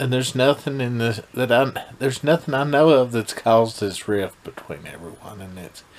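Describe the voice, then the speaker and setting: A man's voice shows ordinary pitch variation as he talks at a moderate speed. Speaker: vlogger reviewing a TV episode. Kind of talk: casual vlog chat. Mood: mildly critical, unimpressed. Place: home room. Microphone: phone near.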